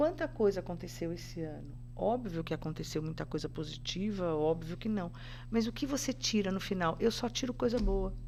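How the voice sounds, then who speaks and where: This woman has a fairly low pitch with vocal fry and lively intonation. Her pace is moderate. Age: 60s. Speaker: podcast guest, spiritual practitioner. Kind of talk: casual interview chat.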